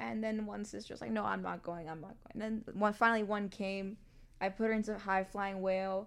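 A woman with an American accent talks at a fairly quick pace in a normal speaking voice. Her pitch is medium and her intonation fairly even. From New York City. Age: 30s. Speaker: yoga teacher and public speaker. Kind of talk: casual interview.

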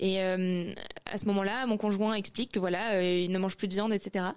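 A plain, everyday voice from a woman, medium in pitch with fairly even intonation. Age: 20s. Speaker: anonymous testimony contributor. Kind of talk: testimony.

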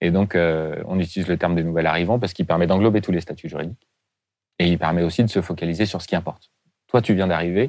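A man's very deep, low voice at a very fast pace with fairly even intonation, on a very clean recording with a silent background. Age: 40s. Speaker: head of a refugee integration charity. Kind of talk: interview. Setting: studio. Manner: halting.

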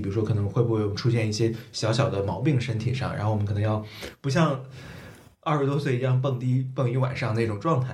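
A man with a medium pitch talks at a fairly quick pace, showing ordinary pitch variation, with audible room echo. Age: 30s. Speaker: podcaster. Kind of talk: casual chat.

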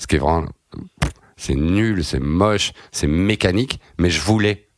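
Through a dry, close sound with no echo, a man with a very deep, low voice speaks at a fairly slow pace with ordinary pitch variation. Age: 40s. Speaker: journalist and novelist. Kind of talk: interview.

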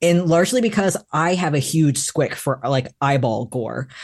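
This man has an unremarkable speaking voice. He talks at a moderate pace with ordinary pitch variation. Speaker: novelist. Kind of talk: author interview.

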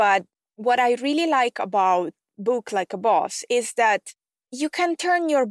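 A woman with an Italian accent speaks at a fairly slow pace and a high pitch. The recording is very clean, with a silent background and a dry, close sound with no echo. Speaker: podcast host and tech expert for online coaches. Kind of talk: solo podcast monologue, scripted-style tutorial.

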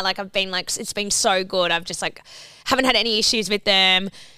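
Heard in a very clean recording with a silent background, a woman with an Australian accent speaks at a medium pitch in a bright, sharp tone. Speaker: podcast co-host. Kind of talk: casual chat.

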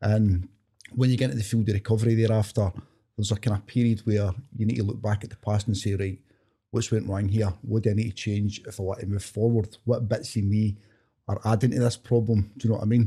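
A man speaks at a very fast pace in a west of Scotland accent, his pitch fairly low. His tone is dark and mellow, somewhat breathy, with monotone, flat intonation. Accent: west of Scotland Scottish. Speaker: author. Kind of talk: interview conversation.

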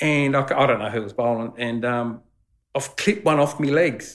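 A man speaks in an Australian accent. His pace is moderate and his pitch varies in an ordinary way. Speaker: former cricketer. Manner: loud.

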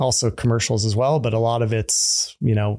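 Dark and mellow in tone, a man speaks with an American accent. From California. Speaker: drinks company co-founder. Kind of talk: interview. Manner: casual, laughs often.

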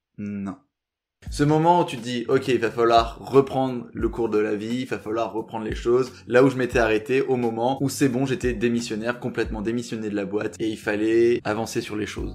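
A man's medium-pitched voice at a moderate pace. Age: 20s. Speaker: podcaster and YouTuber. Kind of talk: storytelling monologue. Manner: animated.

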